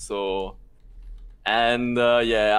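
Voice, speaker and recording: A man with a French accent and fairly even intonation, on a very clean recording with a silent background. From France. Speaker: video game co-caster. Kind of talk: casual chat. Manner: halting, many fillers.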